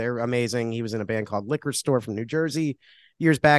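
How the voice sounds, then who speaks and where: A man with an unremarkable speaking voice talks with an American accent and ordinary pitch variation. The sound is dry and close with no echo, and the background is quiet. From Connecticut. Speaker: venue booking manager and musician. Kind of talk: casual podcast interview. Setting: bar, in person.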